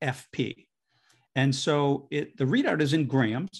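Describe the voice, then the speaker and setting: Vocal fry runs through a fairly even intonation. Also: man. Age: 60s. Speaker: digestive health researcher and author. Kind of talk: interview.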